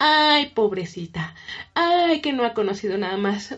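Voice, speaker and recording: Fairly slow speech in a Mexican accent with very wide pitch swings. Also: woman. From Mexico. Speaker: listener. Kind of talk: recorded voice message.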